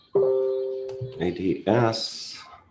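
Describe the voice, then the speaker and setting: This man's voice comes across as somewhat breathy. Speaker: trading educator. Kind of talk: live market analysis show. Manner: animated.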